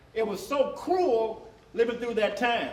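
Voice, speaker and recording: Noticeable background noise and audible room echo accompany a man with a high pitch and ordinary pitch variation. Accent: American. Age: 70s. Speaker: panel moderator. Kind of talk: panel discussion. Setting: stage with audience. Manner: halting.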